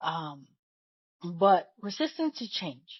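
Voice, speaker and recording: A woman speaks very slowly with a non-native accent. Her voice is somewhat breathy, and her pitch swings very widely. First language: not English. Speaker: podcast host. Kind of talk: solo podcast monologue. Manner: conversational, repeats words.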